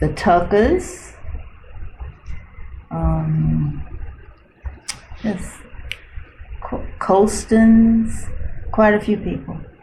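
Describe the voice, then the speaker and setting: A woman with an American accent speaks at a very slow pace, with long, frequent pauses. Noticeable background noise and audible room echo surround her voice. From central Florida. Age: 70s. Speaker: retired nurse. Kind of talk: oral history interview. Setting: library.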